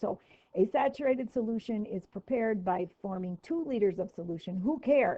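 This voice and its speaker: An unremarkable speaking voice: a woman with a fairly high pitch, lively intonation and a moderate pace. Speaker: chemistry teacher. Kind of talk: lecture. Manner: casual.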